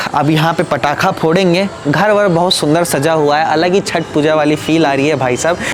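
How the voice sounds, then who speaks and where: A man speaks at a moderate pace with hardly any pauses, his fairly high voice holding very even loudness and fairly even intonation over background music. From Bihar. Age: 20s. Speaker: vlogger. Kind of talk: casual vlog talk to camera.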